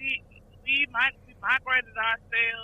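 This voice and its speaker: A woman speaks with a Southern US accent. Her pitch is high. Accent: Southern US (Georgia). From Georgia, US South. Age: 20s. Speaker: truck driver. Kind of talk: casual interview. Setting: phone call.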